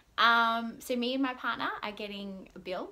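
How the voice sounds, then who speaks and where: An upbeat woman with an Australian accent. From Melbourne, Australia. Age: 20s. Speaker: vlogger. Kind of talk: casual vlog monologue to camera. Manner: rambling, chatty; upbeat, excitable. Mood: cheerful, laughing often. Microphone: phone near.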